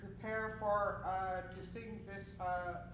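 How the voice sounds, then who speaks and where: Amid noticeable background noise, the speech unfolds at a very slow pace. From Snuneymuxw First Nation, Nanaimo area, British Columbia. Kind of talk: blessing and event address. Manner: loud.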